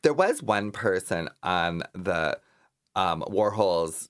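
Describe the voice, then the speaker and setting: Captured in a very clean recording with a silent background, a man with a very deep, low pitch speaks at a very slow pace with ordinary pitch variation. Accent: American. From Minnesota. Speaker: drag performer and writer. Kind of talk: casual chat.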